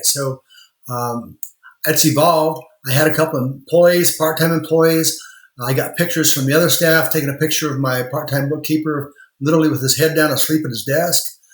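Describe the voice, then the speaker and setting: In a Midwestern US accent, a man speaks at a fairly quick pace with a fairly high pitch and fairly even intonation. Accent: US Midwest. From rural Indiana. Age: 60s. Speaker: lawyer and law firm owner. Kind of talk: interview.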